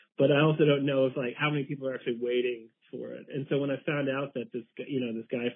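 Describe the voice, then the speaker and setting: Intonation stays fairly even as a man rushes along at a very fast pace. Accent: American. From Kansas. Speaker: documentary filmmaker. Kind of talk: interview. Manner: halting.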